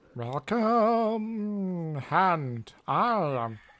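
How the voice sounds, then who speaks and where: This female-sounding voice is a put-on character voice at a medium pitch for a woman. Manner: gruff.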